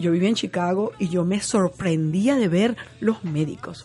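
Speaking at medium pitch and a fairly slow pace, a woman uses lively intonation against noticeable background noise. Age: 60s. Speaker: television journalist. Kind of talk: interview conversation.

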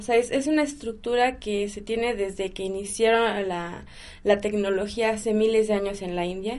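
A woman's fairly high voice, a plain, everyday voice with fairly even intonation and a moderate pace. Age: 20s. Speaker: kundalini yoga teacher. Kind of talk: casual interview chat.

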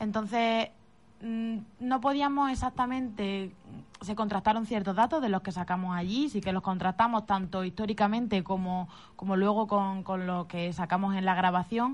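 Against a quiet background, a somewhat breathy woman speaks at a moderate pace with medium pitch and ordinary pitch variation. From Spain, Málaga province. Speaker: psychic medium. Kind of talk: interview. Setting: radio studio.

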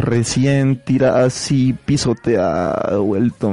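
A man speaks in a normal speaking voice. His intonation is lively. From Colombia, Pasto. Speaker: radio host. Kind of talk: casual chat.

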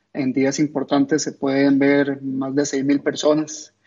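The man's pitch is fairly high and his intonation monotone and flat. He speaks at a fairly slow pace. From Costa Rica. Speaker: football ultra fan. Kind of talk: interview.

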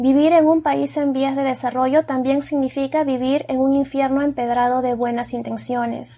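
This woman talks at a moderate pace with a high pitch and a monotone, flat intonation. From Peru. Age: 30s. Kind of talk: personal testimony.

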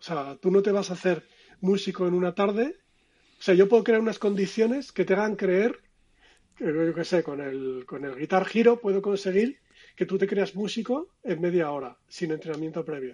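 A man talks at a moderate pace with a high pitch and a dark, mellow tone. The background is quiet. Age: 50s. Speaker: design consultant. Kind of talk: interview conversation.

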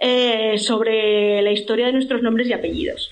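Speaking at a moderate pace, a woman with a fairly high pitch and fairly even intonation uses a plain, everyday voice. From Spain, Zaragoza (Aragon). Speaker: genealogy researcher and blogger. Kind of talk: casual interview.

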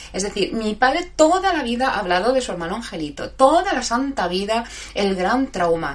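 Amid noticeable background noise, a woman speaks at a moderate pace in a fairly high voice with very wide pitch swings. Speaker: live show host. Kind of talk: casual live chat with listeners. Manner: halting, stumbling over words.

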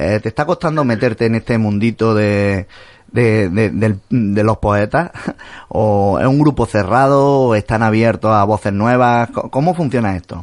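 A man with an unremarkable speaking voice talks at a fairly slow pace and medium pitch. His pitch varies in an ordinary way, and the background is quiet. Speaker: radio host. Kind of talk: radio interview. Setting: radio studio.

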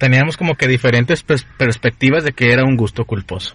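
Somewhat breathy, the speech runs at a fairly quick pace. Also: man. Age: 20s. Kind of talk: casual chat.

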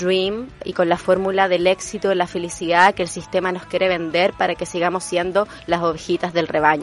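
A woman at a medium pitch, monotone and flat in intonation, at a moderate pace with music in the background. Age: 30s. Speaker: radio host, theatre teacher. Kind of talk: personal storytelling monologue.

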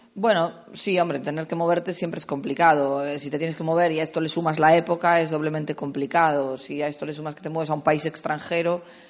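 Against noticeable background noise, a woman with a very deep, low pitch talks at a very fast pace with hardly any pauses. Her delivery is monotone and flat, with big swings in loudness. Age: 30s. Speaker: production coordinator. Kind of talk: festival talk with audience Q&A.

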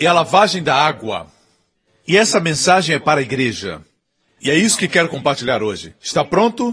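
A man's voice at a high pitch. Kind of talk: sermon. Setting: church with congregation. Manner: emphatic, animated preaching; call-and-response, pausing for amens.

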